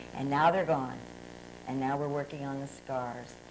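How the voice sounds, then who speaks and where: A woman's voice carries audible room echo. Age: 60s. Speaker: pastor. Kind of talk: testimony.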